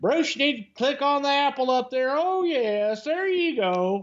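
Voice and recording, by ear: The speaker puts on a character voice with a Southern US accent. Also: man, extremely high pitch for a man, moderate pace. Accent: southern American.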